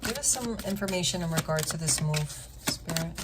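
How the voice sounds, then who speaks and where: Noticeable background noise sits under talking delivered at a moderate pace. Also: woman. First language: not English. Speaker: tarot reader. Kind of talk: live tarot reading. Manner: animated; sometimes tongue-tied.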